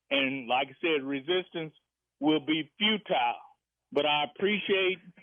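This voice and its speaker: With a normal speaking voice, a man talks in a fairly high pitch with ordinary pitch variation. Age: 60s. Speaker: radio caller. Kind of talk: call-in radio comment.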